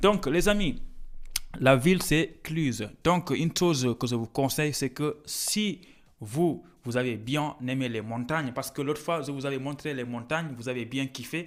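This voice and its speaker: A fairly slow, Senegalese-accented delivery with ordinary pitch variation, on a very clean recording with a silent background. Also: man, fairly high pitch for a man. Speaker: student vlogger. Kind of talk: casual vlog talk. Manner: halting, many hesitations.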